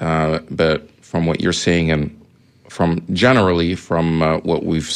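Through noticeable background noise, a man speaks with a very deep, low pitch and monotone, flat intonation. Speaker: radio host. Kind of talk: radio interview and discussion. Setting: radio studio. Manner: hesitant, many fillers.

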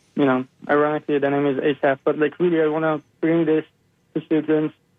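This man talks at a fairly quick pace in a fairly high pitch, with monotone, flat intonation. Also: very even loudness. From Iran. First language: Persian. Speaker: biomedical scientist and animal rights activist. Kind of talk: radio interview.

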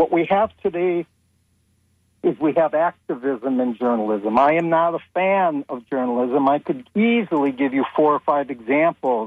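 A man talks at a moderate pace with lively intonation. His is a plain, everyday voice, fairly high in pitch. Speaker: caller. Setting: phone call.

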